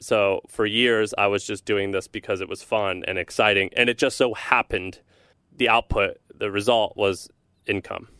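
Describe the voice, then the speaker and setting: Over a silent background on a very clean recording, a man with an American accent speaks in an unremarkable speaking voice, fairly low in pitch, with fairly even intonation at a moderate pace and a dry, close sound with no echo. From US Midwest, St. Louis, Missouri. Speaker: entrepreneur, newsletter founder. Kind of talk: casual interview.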